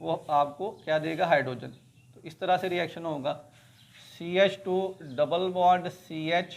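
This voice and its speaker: Very slowly and at a high pitch, a man speaks with fairly even intonation but big swings in loudness. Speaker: chemistry teacher. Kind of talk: lecture.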